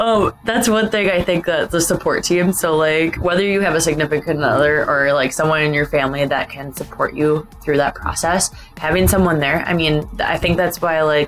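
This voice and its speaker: Against background music, a woman with an American accent speaks fairly quickly in a very deep, low pitch with ordinary pitch variation. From Wisconsin, US. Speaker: chiropractor. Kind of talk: casual interview chat.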